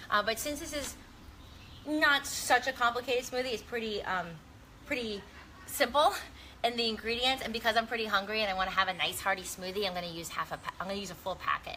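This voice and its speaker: A woman talks at a very fast pace with lively intonation and a fairly high pitch. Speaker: wellness vlogger and recipe host. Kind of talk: live-stream cooking Q&A, casual chat.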